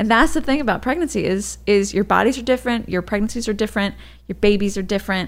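A woman speaks with vocal fry and ordinary pitch variation in a very clean recording with a silent background. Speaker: podcast host and mother. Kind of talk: casual chat.

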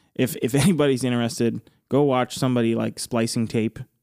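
A man with a normal speaking voice talks at a fairly quick pace in a medium pitch. His intonation is fairly even, and the sound is dry and close with no echo. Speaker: musician and podcast co-host. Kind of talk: casual chat.

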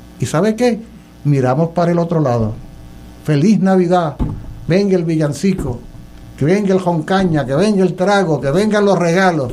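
Someone with a Puerto Rican accent speaks with long, frequent pauses and ordinary pitch variation over noticeable background noise. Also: man, high pitch for a man, moderate pace. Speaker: professor and political candidate. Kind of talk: casual panel talk on political radio.

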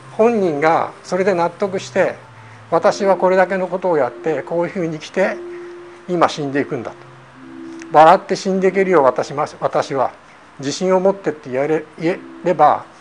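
Music plays behind a man whose high voice moves at a moderate pace with ordinary pitch variation and long, frequent pauses. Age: 60s. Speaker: zen meditation teacher. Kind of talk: lecture.

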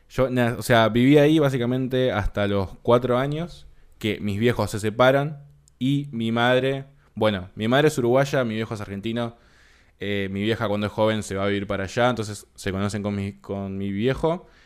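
A man's plain, everyday voice at medium pitch, moderate in pace with ordinary pitch variation, on a very clean recording with a silent background. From Uruguay (Montevideo), born in Buenos Aires area. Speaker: podcast co-host. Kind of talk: casual chat.

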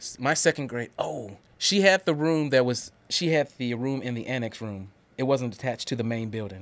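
This is a normal speaking voice with an American accent. It moves at a moderate pace with lively intonation. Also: man, medium pitch for a man. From Guthrie, Oklahoma, US. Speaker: manufacturing systems professional. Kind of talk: casual interview.

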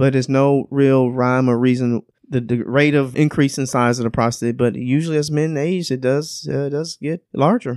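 A man's medium-pitched, plain, everyday voice: a plain, everyday voice at a moderate pace, with hardly any pauses and fairly even intonation. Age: 50s. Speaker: urologist. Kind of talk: interview.

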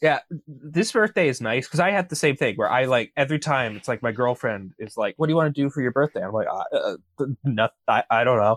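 With an unremarkable speaking voice, a man talks at a fairly quick pace with fairly high pitch and lively intonation, in a dry, close sound with no echo, in a very clean recording with a silent background. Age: 20s. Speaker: podcast co-host. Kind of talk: casual comedic chat.

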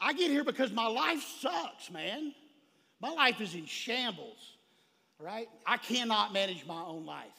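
With a Texan accent, this man speaks at a fairly slow pace in an extremely high pitch, using a raised, projected voice. His tone is animated, with very wide pitch swings and big swings in loudness. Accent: Texan Southern US. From Texas, rural small town. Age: 40s. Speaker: recovery speaker, recovering drug addict. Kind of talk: recovery testimony talk at a convention. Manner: animated, fired up.

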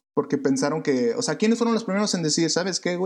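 A man with a Mexican accent and very wide swings in pitch. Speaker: podcast co-host. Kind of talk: casual chat.

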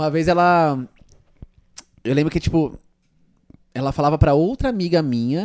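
With long, frequent pauses, a man speaks at a fairly high pitch with ordinary pitch variation. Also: moderate pace. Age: 20s. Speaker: youtuber and podcast host. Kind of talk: casual chat.

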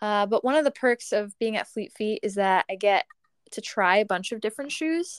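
At a moderate pace, a woman with an ordinary speaking voice and a fairly high pitch talks in a very clean, dry, close recording with no echo and a silent background. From US Northeast, Long Island, New York. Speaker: runner and assistant coach. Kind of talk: podcast interview.

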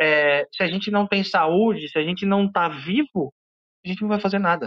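In a normal speaking voice, a man talks at a moderate pace with ordinary pitch variation, the sound dry and close with no echo. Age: 30s. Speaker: agile researcher. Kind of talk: panel discussion. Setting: online audio room.

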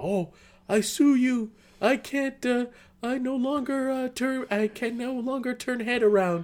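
A man puts on a character voice at an extremely high pitch. He goes at a very slow pace with ordinary pitch variation.

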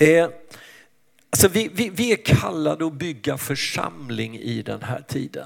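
A man with vocal fry speaks at a fairly high pitch. His pace is fairly slow and his pitch swings very widely. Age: 60s. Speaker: pastor. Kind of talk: sermon.

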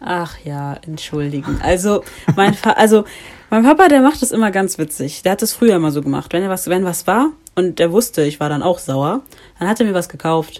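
A woman speaks at a fairly quick pace in an unremarkable speaking voice. Her pitch is medium and her intonation lively. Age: 20s. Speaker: student and activist. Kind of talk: casual podcast interview.

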